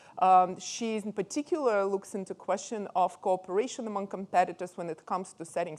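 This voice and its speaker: A woman speaks in a Russian accent with ordinary pitch variation. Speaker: professor, conference moderator. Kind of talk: speaker introduction. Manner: hesitant, many fillers.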